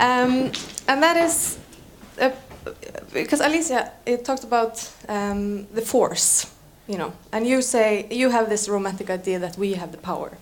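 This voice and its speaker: With a fairly high pitch and an Icelandic accent, a woman speaks at a moderate pace with lively intonation and long, frequent pauses against noticeable background noise. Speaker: panel moderator. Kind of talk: panel discussion.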